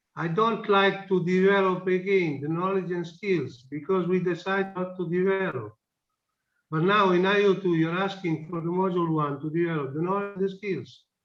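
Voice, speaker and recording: Speaking with a non-native accent, a man uses a high pitch, fairly even intonation and a moderate pace. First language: not English. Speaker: project partner in meeting. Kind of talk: online project meeting debate.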